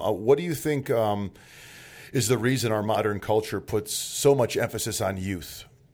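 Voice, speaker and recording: On a very clean recording with a silent background, a man with an ordinary speaking voice talks at a fairly quick pace. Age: 40s. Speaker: podcast host. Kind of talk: casual interview chat.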